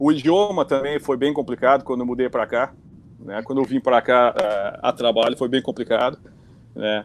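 Here is an ordinary speaking voice: a man at medium pitch, talking at a moderate pace with ordinary pitch variation. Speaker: pilot, flight instructor in the US. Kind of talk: casual chat. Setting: video call.

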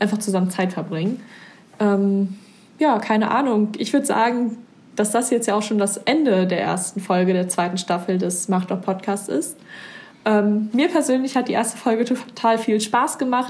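Somewhat breathy, a woman talks at a moderate pace in a fairly high pitch. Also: ordinary pitch variation, very even loudness. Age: young. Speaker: podcast host, volunteer. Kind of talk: casual interview chat.

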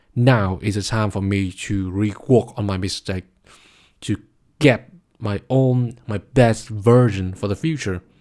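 Over a very clean recording with a silent background, a man with a Vietnamese accent speaks at a fairly slow pace, his fairly low pitch showing ordinary variation. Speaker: podcast host, master's student. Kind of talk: solo monologue podcast.

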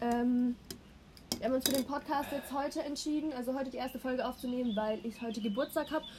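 A woman speaks at a very fast pace with a high pitch and fairly even intonation. Noticeable background noise runs underneath. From Baden, Karlsruhe area. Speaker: podcast host. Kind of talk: casual chat. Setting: outdoors on a balcony. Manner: laughs often.

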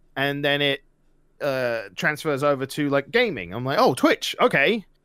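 An ordinary speaking voice, this man's sits at a fairly high pitch with lively intonation. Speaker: streamer and youtuber. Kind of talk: casual interview chat.

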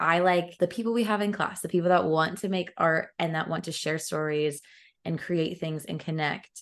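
A normal speaking voice holds a moderate pace with fairly even intonation. The background is quiet. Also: woman, fairly low pitch for a woman. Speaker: podcast host and acting student. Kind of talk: casual interview chat. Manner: laughs often, friendly.

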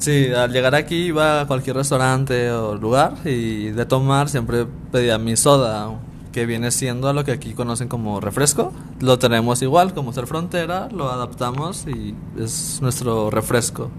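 Noticeable background noise and audible room echo surround a man's medium-pitched voice. He talks fairly slowly, with ordinary pitch variation. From Mexico, Ciudad Juárez. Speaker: podcast guest. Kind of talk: casual chat.

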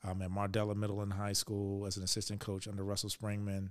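A man with an American accent, fairly low in pitch, at a fairly quick pace with monotone, flat intonation, on a very clean recording with a silent background. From Virginia, US (Richmond). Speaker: school superintendent. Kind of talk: interview.

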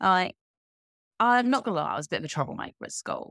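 A woman's voice comes across with a dry, close sound and no echo. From southeast England (Kent). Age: 30s. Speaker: time and energy coach, author and speaker. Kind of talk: casual interview chat. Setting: video call, remote from Spain.

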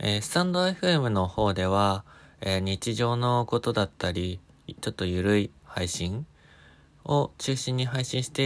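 A man's fairly low, ordinarily varied voice at a fairly slow pace, in a very clean recording with a silent background. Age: 20s. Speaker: podcaster. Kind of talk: self-introduction monologue. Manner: hesitant, many fillers.

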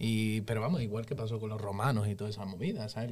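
A man with a medium-pitched voice and ordinary pitch variation talks at a very fast pace. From Seville, Spain. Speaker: musician. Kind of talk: casual chat.

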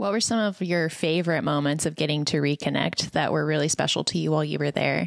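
In an American accent, a woman speaks very fast with a very deep, low pitch, vocal fry, ordinary pitch variation, and very even loudness. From El Paso, Texas. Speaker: podcast co-host. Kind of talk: interview.

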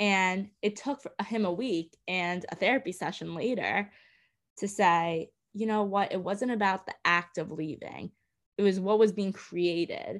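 An ordinary speaking voice in an American accent, at a fairly slow pace with fairly even intonation. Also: woman, medium pitch for a woman, very clean recording, silent background. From New York City, Brooklyn. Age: 20s. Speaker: podcast guest, host's sister. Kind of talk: casual chat.

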